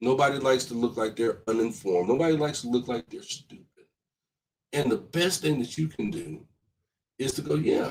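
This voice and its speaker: With vocal fry in his voice, a man talks at a moderate pace. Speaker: comedian and talk show host. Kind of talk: live-stream talk show monologue with viewer comments. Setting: home office, live stream. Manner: conversational, some stuttering.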